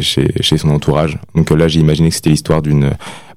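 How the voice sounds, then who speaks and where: A man with a very deep, low voice talks in a flat monotone while noticeable background noise carries on. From Nantes, France. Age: 20s. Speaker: singer-songwriter and nurse. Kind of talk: radio interview, thoughtful. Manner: halting, hesitant, repeating words.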